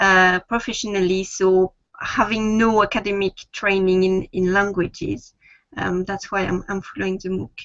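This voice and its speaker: A woman speaks with a French accent. Her intonation is monotone and flat. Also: medium pitch for a woman, moderate pace. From France. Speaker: student, mother. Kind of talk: video call interview. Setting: video call.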